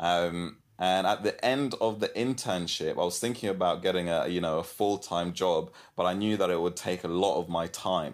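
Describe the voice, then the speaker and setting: In a London accent, the speaker keeps a moderate pace, fairly even intonation and very even loudness on a very clean recording with a silent background. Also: man, very deep, low pitch for a man. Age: 20s. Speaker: church student leader and entrepreneur. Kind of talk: interview and advice talk.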